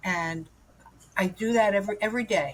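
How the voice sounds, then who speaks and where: A woman talks at a moderate pace, her voice somewhat breathy and her intonation lively. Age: 70s. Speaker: guest sharing recovery story. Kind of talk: testimony. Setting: podcast.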